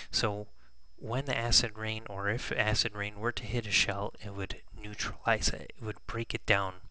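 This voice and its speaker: The tone is bright and sharp, with a monotone, flat intonation. The pace is moderate. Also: man, fairly low pitch for a man. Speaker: teacher. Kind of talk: classroom lesson review. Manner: whispered at times.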